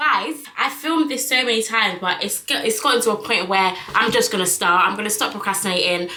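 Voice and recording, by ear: With audible room echo, a woman speaks at a medium pitch and a fairly quick pace, her tone bright and sharp and her pitch varying in an ordinary way.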